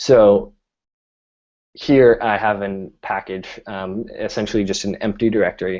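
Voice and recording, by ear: A man speaks at a fairly low pitch with a slightly mellow tone. His intonation is fairly even.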